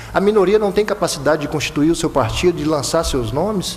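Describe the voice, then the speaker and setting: Moderately paced speech with ordinary pitch variation over noticeable background noise. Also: man. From Bahia–Minas Gerais border, Brazil. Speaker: electoral prosecutor. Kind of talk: panel talk. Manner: repeats words, halting at times.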